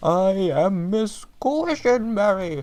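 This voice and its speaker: Using a put-on character voice, a man speaks at a high pitch with lively intonation. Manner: over-the-top, exaggerated.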